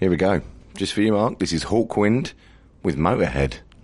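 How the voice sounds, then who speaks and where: A man speaks with lively intonation. Background noise is noticeable. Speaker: radio host. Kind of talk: radio DJ links. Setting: radio studio. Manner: casual.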